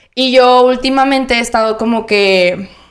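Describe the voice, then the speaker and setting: A woman with an ordinary speaking voice talks at a fairly slow pace, pitched fairly high, with fairly even intonation. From Monterrey, northern Mexico. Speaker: podcast co-host. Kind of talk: casual chat.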